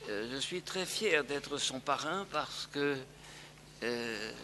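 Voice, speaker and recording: Noticeable background noise runs under the recording. A man speaks with a fairly high pitch. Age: 80s+. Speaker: elderly educator, sponsor of the new professor. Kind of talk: formal speech. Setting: lecture hall with audience. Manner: halting, repeats himself.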